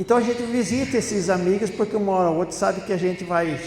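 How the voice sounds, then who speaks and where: A man speaks fairly quickly in a room with audible echo and noticeable background noise. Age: 70s. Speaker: spiritist lecturer. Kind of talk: talk at a spiritist center. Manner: conversational storytelling.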